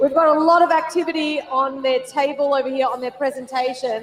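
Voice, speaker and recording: A high-pitched woman with an Australian accent, ordinary pitch variation and noticeable background noise. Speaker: event commentator. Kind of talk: live commentary. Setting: stadium with audience. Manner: casual, with fillers.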